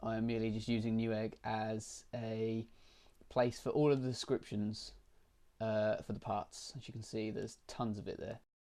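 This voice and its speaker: In a British accent, a man delivers his words at a moderate pace with a medium pitch and monotone, flat intonation. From Britain. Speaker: tech YouTuber. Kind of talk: screen-recorded tutorial walkthrough. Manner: halting, many fillers.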